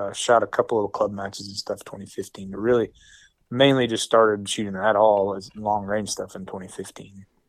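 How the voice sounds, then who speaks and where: Heard on a very clean recording with a silent background, the speaker has an Oklahoma accent, a moderate pace, a monotone, flat intonation and big swings in loudness. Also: man. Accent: Oklahoma rural Southern US. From western Oklahoma. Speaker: competitive precision rifle shooter. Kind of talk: casual interview.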